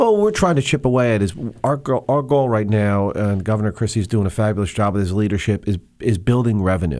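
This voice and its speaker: Very fast and very even in loudness, a man speaks with a New Jersey accent in a fairly low voice with ordinary pitch variation. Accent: New Jersey American. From New Jersey, Monmouth County. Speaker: state legislator, former police officer. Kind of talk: radio interview.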